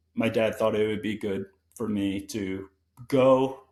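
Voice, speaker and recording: A man with an American accent speaks in a plain, everyday voice at a fairly slow pace with ordinary pitch variation, on a very clean recording with a silent background. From Connecticut. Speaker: guest in recovery from addiction, distance runner. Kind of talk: casual interview conversation.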